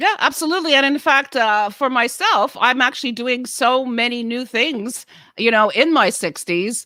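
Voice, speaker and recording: Recorded very cleanly against a silent background, a woman speaks at a high pitch with a bright, sharp tone. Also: ordinary pitch variation, moderate pace. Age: 60s. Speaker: podcast co-host and actor. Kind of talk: casual chat. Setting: podcast.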